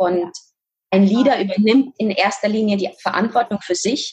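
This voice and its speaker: A woman speaks in a somewhat breathy voice. Her pace is moderate. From Kazakhstan. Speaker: fitness and nutrition coach. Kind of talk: interview.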